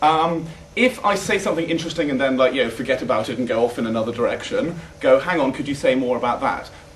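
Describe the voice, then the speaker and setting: A man with a fairly high pitch and lively intonation at a very fast pace, with noticeable background noise and audible room echo. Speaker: debate coach. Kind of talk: workshop lecture. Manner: casual, hesitant with many fillers.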